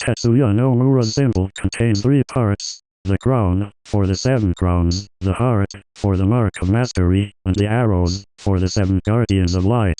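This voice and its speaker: Someone does a put-on character voice at a moderate pace over a quiet background. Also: man, fairly low pitch for a man. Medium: solo performance. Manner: flat, monotone, mechanical.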